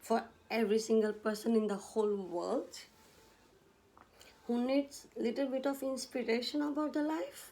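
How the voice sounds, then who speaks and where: At a moderate pace, a woman with a non-native accent and a dark, mellow tone speaks at a fairly high pitch, with ordinary pitch variation and long, frequent pauses. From India. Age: 40s. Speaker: vlogger. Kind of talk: personal vlog monologue. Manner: halting, self-correcting.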